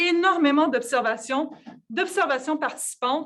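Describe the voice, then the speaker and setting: A woman with a Quebec accent and a high-pitched voice. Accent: Québécois. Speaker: physicist and researcher. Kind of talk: conference talk. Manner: hesitant, many fillers and repetitions.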